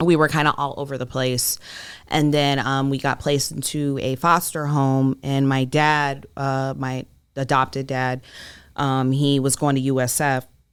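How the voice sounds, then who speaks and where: On a very clean recording with a silent background, a woman with an American accent speaks slowly at a very deep, low pitch in a monotone, flat way. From Iowa, US Midwest. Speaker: entrepreneur, beauty business owner. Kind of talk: interview, life story.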